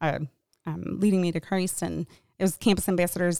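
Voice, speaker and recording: A woman speaks at a fairly low pitch with ordinary pitch variation. The sound is dry and close, with no echo. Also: very clean recording, silent background. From Michigan. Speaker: church counseling director. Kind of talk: interview conversation. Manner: fast.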